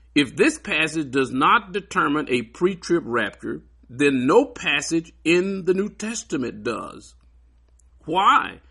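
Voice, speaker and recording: Over a quiet background, a man talks at a very slow pace in a bright, sharp, high-pitched voice with very wide pitch swings. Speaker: Bible teacher. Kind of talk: lecture. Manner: emphatic.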